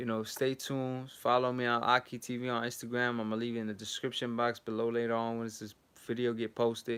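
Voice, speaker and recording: A man speaks at a fairly quick pace in a medium pitch. His intonation is monotone and flat. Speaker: boxing youtuber. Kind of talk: livestream outro. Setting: at home. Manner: quiet.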